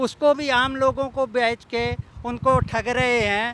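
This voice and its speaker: A man projects a raised voice at an extremely high pitch, bright and sharp in tone, with monotone, flat intonation. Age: 70s. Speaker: plot buyer, residents' association member. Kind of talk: media interview, complaint.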